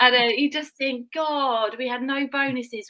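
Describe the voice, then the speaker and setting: With a British accent, the speaker talks at a moderate pace in a bright, sharp, animated tone. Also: woman. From UK. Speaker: business guest, mum. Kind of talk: casual live stream chat, testimony.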